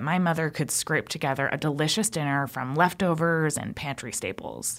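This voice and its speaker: A woman's very deep, low pitch on a very clean recording with a silent background. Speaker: radio producer. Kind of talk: scripted narration.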